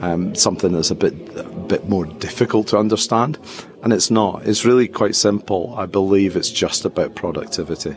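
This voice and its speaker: Over noticeable background noise, a man with a Scottish accent talks at a moderate pace with a fairly low pitch and ordinary pitch variation. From Scotland. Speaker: tech company executive. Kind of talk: interview. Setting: conference venue. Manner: hesitant, many fillers.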